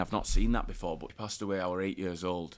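On a very clean recording with a silent background, a man with a Yorkshire accent speaks at a fairly quick pace in a fairly low pitch with monotone, flat intonation. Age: 20s. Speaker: professional rugby league player. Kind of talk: interview, personal story.

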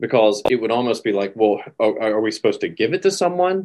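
Over a quiet background, a man with an American accent talks in an ordinary speaking voice at medium pitch with lively intonation. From US South, North Carolina. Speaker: podcast co-host. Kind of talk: podcast conversation.

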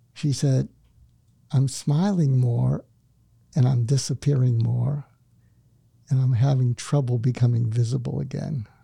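A man speaks at a fairly slow pace with long, frequent pauses and fairly even intonation. His tone is dark, mellow, calm and soothing, and somewhat breathy. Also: medium pitch for a man. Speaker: psychiatrist and author. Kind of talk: casual interview. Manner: calm, soothing.

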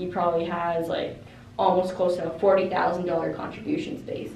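The speech moves at a fairly quick pace in a Canadian accent. Audible room echo is present. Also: woman. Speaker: finance-savvy guest. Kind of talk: casual chat.

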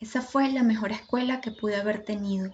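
The voice is somewhat breathy and monotone, with flat intonation. It holds a moderate pace. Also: woman. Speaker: podcast host and doula. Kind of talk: personal storytelling monologue.

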